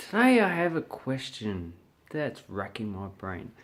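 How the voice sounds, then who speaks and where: The speaker is a man. He has an Australian accent. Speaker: English teacher. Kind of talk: casual talk to camera.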